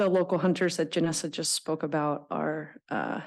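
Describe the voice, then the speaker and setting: Against a quiet background, a woman speaks at a fairly slow pace. Her voice is shaky, with a very deep, low pitch. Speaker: nonprofit representative testifying at public hearing. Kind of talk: public testimony. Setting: public board meeting room. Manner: shaky, hesitant with many fillers.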